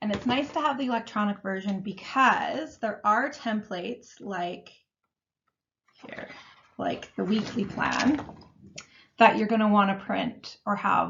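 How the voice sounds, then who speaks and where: A woman's fairly high voice with vocal fry, ordinary pitch variation, a fairly slow pace and long, frequent pauses. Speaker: meal planning coach. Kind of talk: webinar tutorial. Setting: online webinar.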